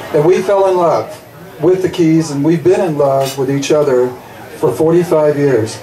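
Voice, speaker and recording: Amid audible room echo and noticeable background noise, a man with a fairly high pitch talks at a moderate pace with ordinary pitch variation. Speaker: school board candidate, teacher. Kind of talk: campaign speech.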